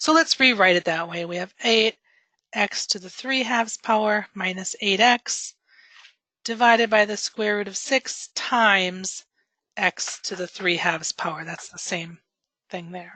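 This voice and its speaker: A woman speaks at medium pitch with a bright, sharp tone and ordinary pitch variation. Her loudness swings widely, and the sound is dry and close with no echo. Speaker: math teacher. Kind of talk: tutoring session. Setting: recorded tutoring session. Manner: fast.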